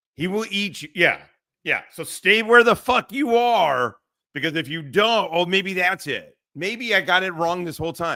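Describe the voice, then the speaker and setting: A man's raised, projected voice, high-pitched and bright and sharp in tone, with lively intonation at a moderate pace, on a very clean recording with a silent background. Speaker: livestream commentary host. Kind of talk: casual livestream chat.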